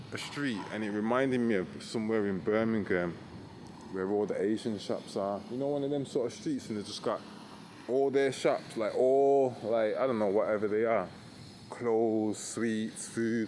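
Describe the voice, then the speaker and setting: A man's dark, mellow tone at medium pitch, fairly even intonation and a moderate pace. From Britain. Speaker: backpacker travel vlogger. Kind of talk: casual walking talk to camera. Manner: hesitant, rambling.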